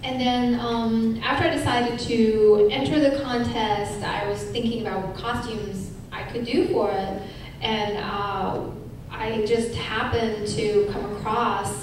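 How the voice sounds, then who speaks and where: A woman talks at a fairly slow pace with ordinary pitch variation, her voice carrying strong room echo over noticeable background noise. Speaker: panelist. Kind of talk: panel talk. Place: hall.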